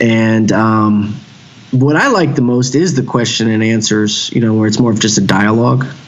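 In a Texan accent, a man talks at a moderate pace and medium pitch with ordinary pitch variation and very even loudness, amid noticeable background noise and audible room echo. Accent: Texan American. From Texas, Houston. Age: 30s. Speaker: hardcore band vocalist and author. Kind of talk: casual chat.

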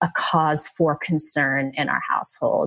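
A woman with an American accent uses a plain, everyday voice, fairly low in pitch, at a fairly slow pace. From New Jersey. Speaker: former pro tennis player, real estate investor. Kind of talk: interview.

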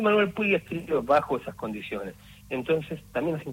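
A man's voice sits fairly high, somewhat breathy, with very wide pitch swings. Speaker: museum exhibition curator. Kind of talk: interview.

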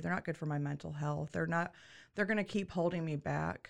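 This voice belongs to a woman, and its pitch sits very deep and low. She has an American accent. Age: 30s. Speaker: attorney for foster children, former foster youth. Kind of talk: personal life story in a podcast interview.

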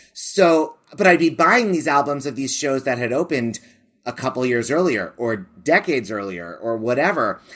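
A man with an American accent, fairly high in pitch, lively in intonation and moderate in pace. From US. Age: 40s. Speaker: theater director and podcaster. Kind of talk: casual interview chat. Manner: animated, with frequent fillers.

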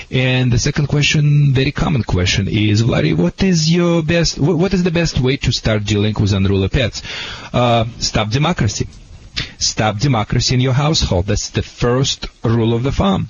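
A man's medium-pitched voice with a Russian accent, lively intonation, very even loudness and a moderate pace, over noticeable background noise. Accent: foreign accent, Russian. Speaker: dog trainer. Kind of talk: advice answers to callers. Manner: animated.

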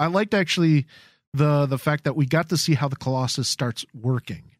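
A man talks in a normal speaking voice at a fairly quick pace, with fairly high pitch and lively intonation. The recording is very clean with a silent background and a dry, close sound with no echo. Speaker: podcast co-host. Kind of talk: casual chat. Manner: laughs often.

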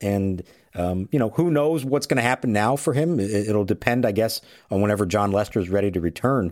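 A plain, everyday voice: a man at medium pitch and moderate pace, ordinary pitch variation, very clean recording with a silent background. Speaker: baseball reporter. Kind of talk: sports analysis chat. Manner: measured, conversational.

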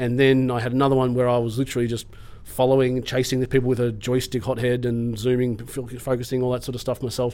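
Here a man talks at a very fast pace. He has a medium-pitched voice with an Australian accent. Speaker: film crew technician. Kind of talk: casual interview chat. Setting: classroom with students.

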